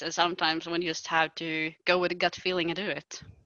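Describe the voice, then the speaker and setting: The speaker talks at a fairly quick pace with a Swedish accent. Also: woman. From Sweden. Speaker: podcast host. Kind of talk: casual chat.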